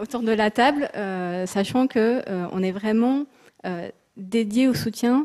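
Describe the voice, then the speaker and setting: Speaking at a very slow pace, a soft-spoken woman has a dark, mellow tone and ordinary pitch variation. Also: fairly high pitch for a woman. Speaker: textile institute representative. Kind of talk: panel discussion.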